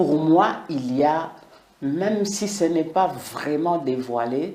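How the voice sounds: In a room with audible echo, a woman speaks slowly in a low pitch with a dark, mellow tone and ordinary pitch variation.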